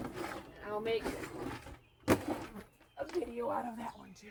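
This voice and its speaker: Mumbling over noticeable background noise. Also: woman. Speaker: rabbit breeder. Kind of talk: casual vlog while working. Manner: mumbling, volume up and down; rambling, casual.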